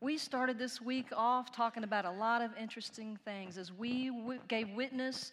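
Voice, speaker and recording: This woman has a bright, sharp tone and a fairly high pitch. She speaks with a Texan accent and fairly even intonation. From Texas. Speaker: preacher. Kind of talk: sermon.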